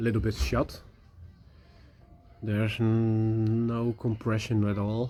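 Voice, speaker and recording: With music in the background, a man with a Dutch accent talks at a very slow pace, at medium pitch and in fairly even intonation. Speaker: motorbike restorer. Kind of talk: tutorial. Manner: halting.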